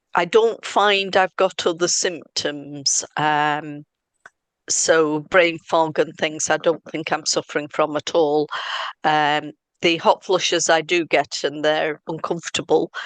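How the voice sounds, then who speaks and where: Against a quiet background, a woman with a very deep, low pitch speaks at a very slow pace with fairly even intonation. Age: 60s. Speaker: health engagement officer. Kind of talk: interview. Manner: hesitant, many fillers.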